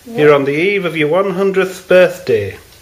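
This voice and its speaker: Against noticeable background noise, a man with a high pitch speaks fairly slowly with ordinary pitch variation. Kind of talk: interviewer questions.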